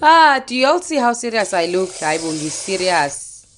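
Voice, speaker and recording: A woman speaks with a Zulu accent. Her pitch swings very widely. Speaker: cooking vlogger. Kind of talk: cooking tutorial. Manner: casual, code-switching Zulu and English.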